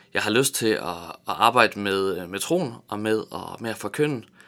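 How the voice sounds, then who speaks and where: Very slowly and with lively intonation, a man with a fairly low pitch speaks in a very clean recording with a silent background. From Tanzania and Vejle area, Denmark. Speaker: theology graduate giving devotionals. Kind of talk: radio interview. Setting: radio studio. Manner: halting, many fillers and repetitions.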